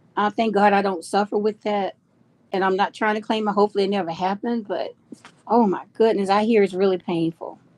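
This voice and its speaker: In a dry, close sound with no echo, a woman talks at a fairly quick pace and medium pitch with monotone, flat intonation. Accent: Southern US. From Georgia, US South. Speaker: livestream host. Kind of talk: casual chat. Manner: chatty, warm.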